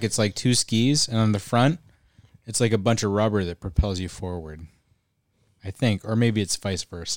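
Speaking in an American accent with an unremarkable speaking voice, a man talks at a moderate pace and medium pitch with ordinary pitch variation, his sound dry and close with no echo. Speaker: podcast co-host. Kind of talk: casual chat.

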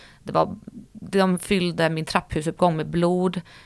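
A woman speaks at a fairly slow pace in a fairly low pitch, her intonation flat and monotone, on a very clean recording with a silent background. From Stockholm, Sweden. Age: 30s. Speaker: influencer. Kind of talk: casual interview.

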